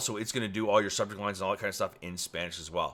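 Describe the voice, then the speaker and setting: The man's voice has a bright, sharp tone. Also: very clean recording, silent background. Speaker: software reviewer. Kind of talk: product demo tutorial. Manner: fast.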